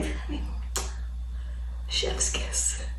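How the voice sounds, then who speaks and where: There is noticeable noise in the background. Over it, a woman talks. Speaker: fitness and nutrition coach. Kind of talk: casual talk to camera. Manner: soft-spoken.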